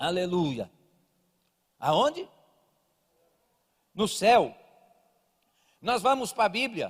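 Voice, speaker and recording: On a very clean recording with a silent background, a high-pitched man speaks at a very slow pace with long, frequent pauses and very wide pitch swings. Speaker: evangelist preacher. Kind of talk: sermon. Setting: church service with small audience, livestreamed.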